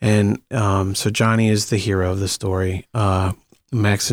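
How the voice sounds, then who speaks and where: A man with an American accent speaks at a fairly slow pace and fairly low pitch, monotone and flat. The recording is very clean and dry, close with no echo and a silent background. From Akron, Ohio, US Midwest. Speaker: actor and screenwriter. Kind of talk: interview. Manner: halting, many fillers and repeats.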